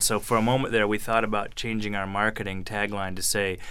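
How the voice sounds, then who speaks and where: A man talks at a fairly quick pace in a fairly low pitch with a bright, sharp tone. Audible room echo surrounds his voice. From US military bases, moved often. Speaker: robotics company founder. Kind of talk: interview.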